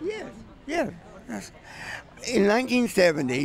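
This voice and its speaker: In an American accent, a man speaks at a moderate pace over noticeable background noise. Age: 70s. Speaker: video artist. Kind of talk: casual interview. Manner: halting.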